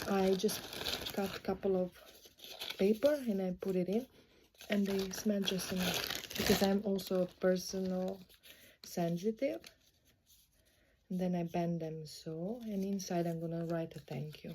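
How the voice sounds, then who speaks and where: At a fairly slow pace with long, frequent pauses, a woman speaks at a medium pitch with ordinary variation over noticeable background noise. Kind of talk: casual talk to camera while packing orders. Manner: relaxed, low-energy, rambling.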